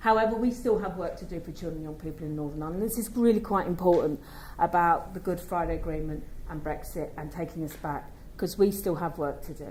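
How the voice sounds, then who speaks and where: There is audible room echo as a woman with a fairly low pitch and vocal fry talks at a very fast pace, her loudness swinging widely. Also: ordinary pitch variation. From London, England. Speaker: children's commissioner. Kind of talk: conference speech.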